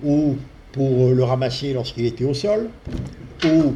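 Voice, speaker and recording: There is audible room echo around this man's voice. He speaks at a medium pitch with ordinary pitch variation. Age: 70s. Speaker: spiritual healer. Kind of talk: talk to an audience. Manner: hesitant, with fillers. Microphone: too quiet for the back, needs to be closer.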